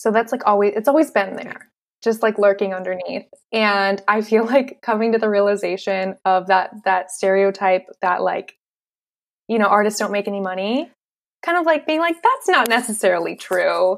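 Using a normal speaking voice, a woman with an American accent speaks at a medium pitch and a moderate pace with ordinary pitch variation. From Western Massachusetts, US. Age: 20s. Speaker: graphic designer and entrepreneur. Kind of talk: casual interview.

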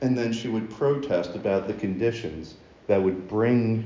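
A man talks with an American accent in a fairly low voice and ordinary pitch variation. Audible room echo surrounds his speech. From US, Baltimore. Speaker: preacher. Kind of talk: sermon.

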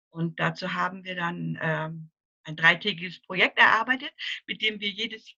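Speaking at a moderate pace, a woman has a bright, sharp tone with vocal fry, in a dry, close sound with no echo. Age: 60s. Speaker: grief counselor for children. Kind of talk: interview. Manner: halting.

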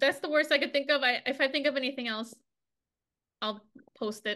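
A woman projects a raised voice with a bright, sharp tone. Her pace is moderate and her pitch variation ordinary. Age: 30s. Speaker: podcast co-host. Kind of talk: casual chat.

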